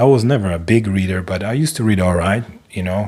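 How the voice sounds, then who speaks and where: A man with a non-native accent speaks at a moderate pace. His very deep, low voice shows ordinary pitch variation. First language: not English. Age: 40s. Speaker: live stream host. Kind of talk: casual monologue. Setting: live stream. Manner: hesitant, filler-heavy.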